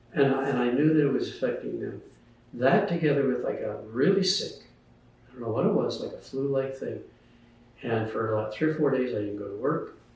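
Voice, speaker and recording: Audible room echo surrounds a man with a medium pitch. He talks at a fairly quick pace with lively intonation. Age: 80s+. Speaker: author and retired scientist. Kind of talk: casual interview, personal story. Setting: at home.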